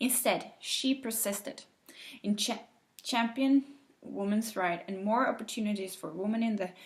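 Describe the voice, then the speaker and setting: A woman with a non-native accent, fairly high pitch, a somewhat breathy sound and a moderate pace. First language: not English. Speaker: teacher. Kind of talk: reading aloud. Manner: halting.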